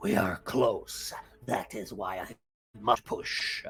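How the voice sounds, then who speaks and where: A man's put-on character voice at medium pitch, very slow delivery, music playing in the background. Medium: actual play. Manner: commanding.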